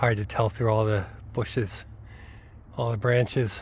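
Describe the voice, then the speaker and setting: Medium-pitched, somewhat breathy male voice at a fairly slow pace. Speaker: hiking vlogger. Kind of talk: walking vlog narration. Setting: outdoors on a snowy trail. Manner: chatty, talkative.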